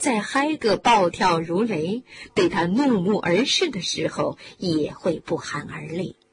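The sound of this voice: An unforced reading voice carries lively intonation.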